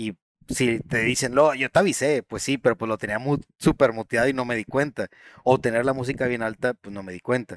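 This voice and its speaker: On a very clean recording with a silent background and a dry, close sound with no echo, a man of medium pitch speaks at a fairly quick pace, with ordinary pitch variation and big swings in loudness. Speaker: gaming podcast host. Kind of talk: casual chat.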